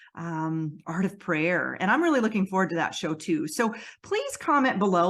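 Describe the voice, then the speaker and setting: A loud woman's voice with very wide pitch swings. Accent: American. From US Northeast (Western New York). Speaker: podcast host, intuitive empath healer. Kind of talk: casual channel update. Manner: loud, working on toning it down; many fillers and restarts.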